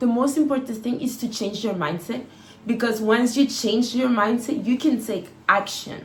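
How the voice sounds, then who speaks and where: This woman's voice sits at a fairly high pitch, with ordinary pitch variation. Audible room echo surrounds it. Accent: non-native. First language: not English. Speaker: lifestyle vlogger. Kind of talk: casual advice monologue.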